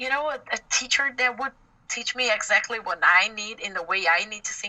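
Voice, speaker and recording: A woman's lively intonation and moderate pace come through over noticeable background noise. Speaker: metal singer and bassist. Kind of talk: interview. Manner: halting.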